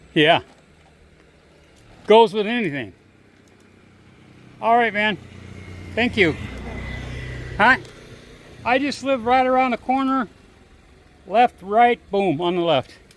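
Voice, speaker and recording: Noticeable background noise behind a high-pitched man with lively intonation and long, frequent pauses. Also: fairly slow pace. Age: 60s. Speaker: vlogger. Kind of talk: casual vlog monologue and chat. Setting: outdoors, walking on a village road. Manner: conversational with fillers and restarts.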